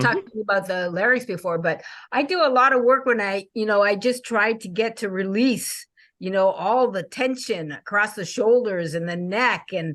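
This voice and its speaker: A normal speaking voice from a woman at a medium pitch, moderate in pace, with lively intonation and a quiet background. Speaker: podcast host. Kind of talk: podcast interview.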